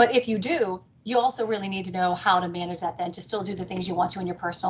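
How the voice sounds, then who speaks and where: A woman with an American accent speaks at a medium pitch with ordinary pitch variation, over noticeable background noise. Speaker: business executive. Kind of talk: talk to a networking group. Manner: fast.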